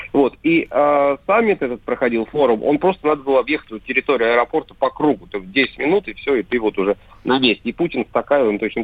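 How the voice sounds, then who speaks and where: A man delivers his words very fast, his intonation lively. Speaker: Kremlin pool journalist. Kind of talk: casual chat. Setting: phone call.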